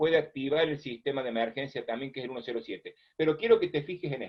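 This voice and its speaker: Talking at a very fast pace, a man with a fairly high pitch and ordinary pitch variation swings widely in loudness. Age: 60s. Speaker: first aid instructor. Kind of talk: lecture.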